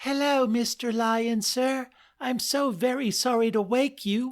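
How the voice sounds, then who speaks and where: A put-on, squeaky character voice at a fairly high pitch moves at a fairly slow pace over a silent background in a very clean recording. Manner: apologetic, nervous.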